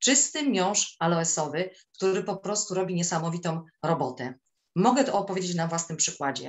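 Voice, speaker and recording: A woman with a fairly low pitch and lively intonation at a moderate pace, against a quiet background. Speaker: teacher and swimming instructor; teacher, swimming instructor. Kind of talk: testimony. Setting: video call. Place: home room. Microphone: webcam.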